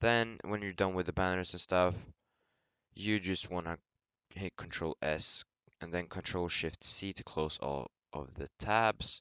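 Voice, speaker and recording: A man's very deep, low voice at a fairly slow pace, broken by long, frequent pauses. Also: ordinary pitch variation. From Sweden. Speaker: gaming YouTuber. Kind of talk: tutorial.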